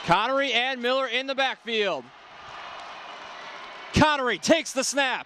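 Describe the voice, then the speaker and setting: A man with an extremely high pitch and ordinary pitch variation speaks in a raised, projected voice at a moderate pace, pausing long and often against noticeable background noise. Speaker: sports play-by-play broadcaster. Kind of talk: excited live football highlight calls.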